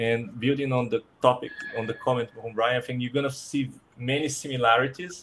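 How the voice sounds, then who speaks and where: Against noticeable background noise, a man speaks at a medium pitch with fairly even intonation. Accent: Portuguese. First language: Portuguese. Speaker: design operations speaker on a panel. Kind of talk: panel presentation. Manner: halting with repeated words.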